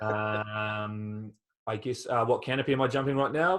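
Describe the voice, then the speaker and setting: Against a quiet background, a man talks at a fairly slow pace. He has a New Zealand accent. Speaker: skydiver and test jumper. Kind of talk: webinar Q&A. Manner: hesitant, many fillers.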